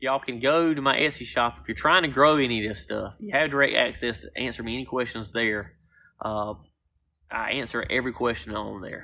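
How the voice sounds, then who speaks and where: A man with a North Carolina accent talks fairly quickly at a medium pitch, his bright, sharp tone edged with vocal fry. His volume swings widely against a quiet background. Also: ordinary pitch variation. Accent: Southern, North Carolina. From US South, North Carolina. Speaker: gardener and plant seller. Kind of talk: live stream Q&A.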